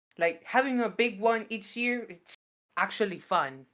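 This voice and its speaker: A woman speaks with a non-native accent and lively intonation. The background is quiet. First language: not English. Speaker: podcast panelist. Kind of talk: casual chat. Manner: halting.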